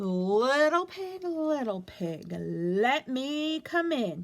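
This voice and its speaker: A woman speaks very slowly in a put-on character voice, pitched high, with very wide pitch swings. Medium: read story. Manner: sly, falsely friendly.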